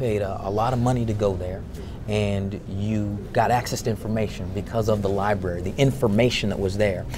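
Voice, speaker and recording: Noticeable background noise runs under the recording. A man with a fairly low voice speaks at a fairly quick pace. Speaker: interviewee, actor. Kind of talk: interview answer. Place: hall. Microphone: lapel.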